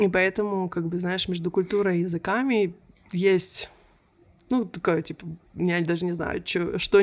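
Speaking at a moderate pace with long, frequent pauses, a woman keeps a medium pitch and fairly even intonation. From Israel. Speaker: coach and researcher. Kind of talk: interview conversation.

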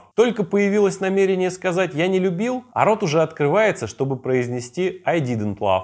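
On a very clean recording with a silent background, a man with a high pitch and lively intonation talks at a moderate pace with hardly any pauses. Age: 30s. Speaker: podcast host. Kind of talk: solo podcast monologue.

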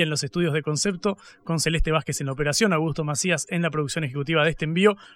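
The speech moves at a very fast pace with fairly even intonation. The recording is very clean with a silent background. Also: man. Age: 20s. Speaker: radio host. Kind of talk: radio interview and news commentary. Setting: radio studio.

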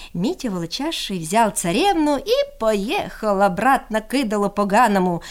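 A woman speaks at a fairly high pitch. Her voice makes big pitch swings.

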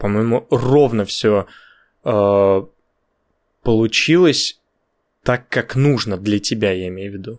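A man's very slow speech with ordinary pitch variation, on a very clean recording with a silent background. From Russia. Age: 20s. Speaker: podcast co-host. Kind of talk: casual chat.

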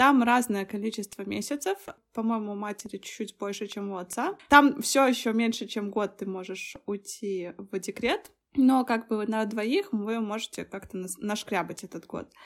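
A woman's normal speaking voice, fairly high in pitch, at a moderate pace with ordinary pitch variation and big swings in loudness. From Belarus. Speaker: visual effects artist and designer. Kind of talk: casual chat.

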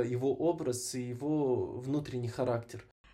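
A man talks at medium pitch in a dark, mellow tone. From Kazakhstan, Almaty. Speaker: actor and event host. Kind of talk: casual interview.

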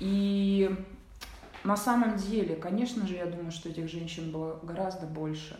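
Heard with audible room echo, a woman with a fairly low voice talks at a moderate pace and with fairly even intonation. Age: 40s. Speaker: choir singer and podcast co-host. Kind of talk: casual chat.

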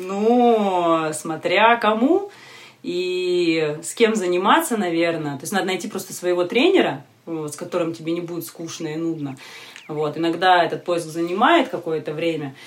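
Big swings in loudness at a moderate pace, ordinary pitch variation, noticeable background noise. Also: woman, fairly low pitch for a woman. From Siberia, Novosibirsk. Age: 30s. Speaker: yoga teacher. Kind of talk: casual interview.

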